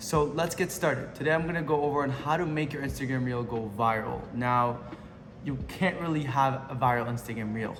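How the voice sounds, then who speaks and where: In a room with audible echo, a man speaks at a fairly quick pace with medium pitch and ordinary pitch variation. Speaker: social media marketing coach. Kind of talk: tutorial. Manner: fast; casual, unscripted.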